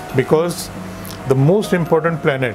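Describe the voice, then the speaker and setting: Speech at a moderate pace with ordinary pitch variation, over music in the background. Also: man. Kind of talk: explanatory talk to camera. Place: shop. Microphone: lapel.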